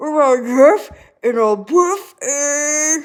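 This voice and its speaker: A put-on character voice growls at a high pitch. The recording is very clean, with a silent background. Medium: read story. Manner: growling.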